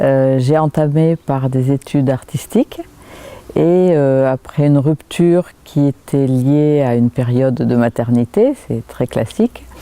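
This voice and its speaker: In a dry, close sound with no echo, a woman speaks at a very slow pace in a dark, mellow tone, her pitch very deep and low with ordinary variation and her loudness very even. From southwest France, Pyrénées-Atlantiques near Pau. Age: 60s. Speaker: local politician. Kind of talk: interview. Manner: halting, many hesitations.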